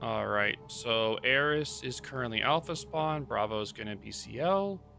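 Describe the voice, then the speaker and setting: The pace is moderate. Noticeable background noise runs throughout. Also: man. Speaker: esports caster. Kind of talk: live commentary. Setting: livestream.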